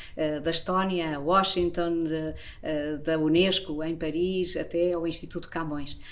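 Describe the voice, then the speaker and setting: A woman with a fairly low pitch speaks at a fairly slow pace and with fairly even intonation, and audible room echo surrounds her voice. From Portugal. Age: 60s. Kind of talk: self-introduction monologue.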